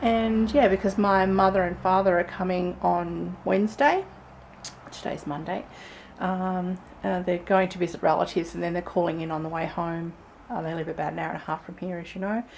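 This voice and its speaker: Over light background noise, a woman speaks at a fairly quick pace in a fairly low voice with fairly even intonation. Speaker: family vlogger. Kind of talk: casual vlog chat. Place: home room. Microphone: phone near.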